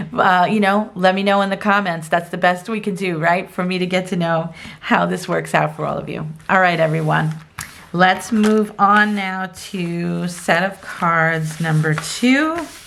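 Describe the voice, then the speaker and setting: There is audible room echo and noticeable background noise around a woman speaking at a medium pitch. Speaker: tarot card reader. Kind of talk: pick-a-card tarot reading. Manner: casual, hesitant with fillers.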